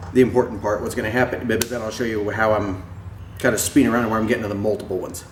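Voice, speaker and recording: A man speaks at a medium pitch. The room echo is audible, and there is noticeable background noise. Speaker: machinist. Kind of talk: tutorial. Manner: casual; halting.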